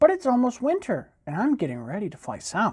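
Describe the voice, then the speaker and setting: This put-on character voice has a fairly high pitch and moves at a fairly quick pace. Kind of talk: bedtime story. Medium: read story.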